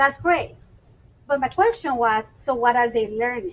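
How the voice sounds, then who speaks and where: Heard over noticeable background noise, a woman speaks at a high pitch with lively intonation. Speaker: school administrator. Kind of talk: professional development presentation. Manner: fast.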